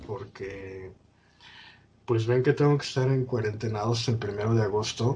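The speaker talks at a fairly slow pace, with long, frequent pauses. Pitch varies in an ordinary way. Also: man, medium pitch for a man. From Mexico, State of Mexico. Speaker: podcast host. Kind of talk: casual chat.

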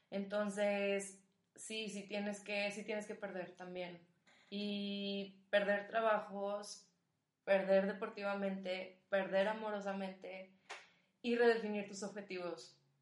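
Delivery is monotone and flat at a very slow pace, with big swings in loudness. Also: woman, medium pitch for a woman. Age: 20s. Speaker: student and rugby coach. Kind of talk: casual chat.

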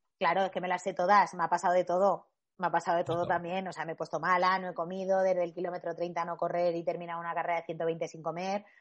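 Very fast, with hardly any pauses, the speech runs in a monotone, flat intonation. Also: woman, fairly low pitch for a woman. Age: 30s. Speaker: sports nutritionist and trail runner. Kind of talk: casual interview.

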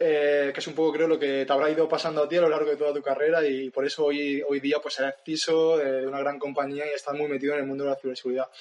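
A man talks very fast at a fairly high pitch, with hardly any pauses. His intonation is monotone and flat, and there is noticeable background noise. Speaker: podcast host. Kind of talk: interview. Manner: halting.

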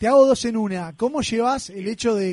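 With a Uruguayan accent, a man speaks in a dark, mellow tone with ordinary pitch variation. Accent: Uruguayan Spanish (Rioplatense). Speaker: radio host. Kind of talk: casual chat.

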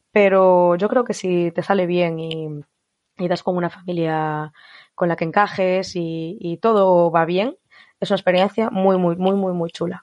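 A woman speaks in an unremarkable speaking voice at a fairly low pitch and moderate pace, with fairly even intonation, a quiet background and a dry, close sound with no echo. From Spain. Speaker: former au pair, psychology graduate. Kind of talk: interview.

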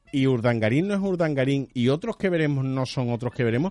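A man's medium-pitched voice with very wide pitch swings, at a fairly quick pace. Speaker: radio host. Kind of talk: comedic radio chat.

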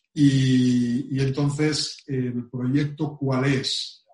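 A man's medium-pitched, somewhat breathy voice in a flat monotone. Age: 50s. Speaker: travel industry executive. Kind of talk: interview. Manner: halting.

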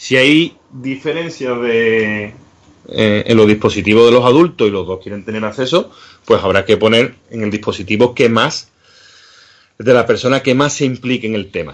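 Using an unremarkable speaking voice, a man keeps a moderate pace, a medium pitch and ordinary pitch variation. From Seville, Andalusia. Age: 40s. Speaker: cybersecurity educator. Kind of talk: interview.

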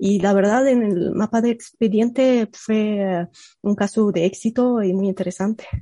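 The loudness stays very even throughout. The tone is dark and mellow, and the pace is fairly slow. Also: woman, medium pitch for a woman. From Egypt. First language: Arabic (speaking Spanish). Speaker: computational linguist. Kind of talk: casual interview. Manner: hesitant, many fillers.

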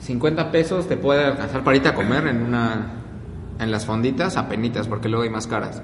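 With a Mexican accent, a man talks fairly quickly at a medium pitch with ordinary pitch variation, set against noticeable background noise and audible room echo. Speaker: podcast co-host. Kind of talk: casual chat.

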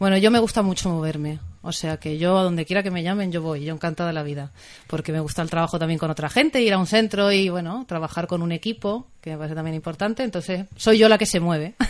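At a very fast pace, a woman speaks with a fairly low pitch and ordinary pitch variation. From Canary Islands (Tenerife). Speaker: family therapist and maternity coach. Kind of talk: radio interview.

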